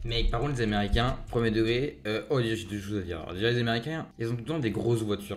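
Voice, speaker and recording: A man's animated, medium-pitched voice at a very fast pace with hardly any pauses and ordinary pitch variation. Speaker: youtuber reacting to videos. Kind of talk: reaction video commentary. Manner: casual, animated.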